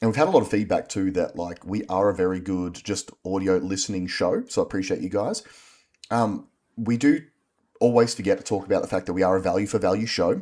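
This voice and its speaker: With an Australian accent, a man speaks at a fairly quick pace in a fairly low pitch, with a dark, mellow tone and ordinary pitch variation. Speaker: podcast co-host. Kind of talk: casual chat.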